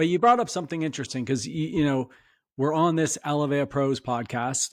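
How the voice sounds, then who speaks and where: A man with a Canadian accent and an ordinary speaking voice, at a fairly quick pace with ordinary pitch variation, over a quiet background. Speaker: podcast host. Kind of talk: interview. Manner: casual.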